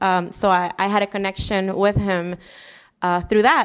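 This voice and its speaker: Here a woman with a Spanish accent talks at a medium pitch and moderate pace. The recording is very clean, with a silent background. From Puerto Rico, Humacao. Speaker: city council candidate, former teacher. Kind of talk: interview.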